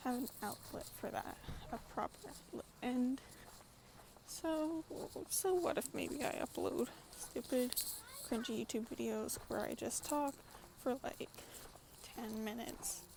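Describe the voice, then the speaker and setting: Speaking at a fairly slow pace with long, frequent pauses, a woman uses a high pitch and ordinary pitch variation. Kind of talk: casual vlog monologue. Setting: outdoors in a public park. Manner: halting, stuttering.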